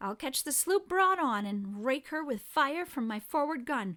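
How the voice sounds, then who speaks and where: Pitched high, a woman puts on a character voice. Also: moderate pace. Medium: read story. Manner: crisp, bold.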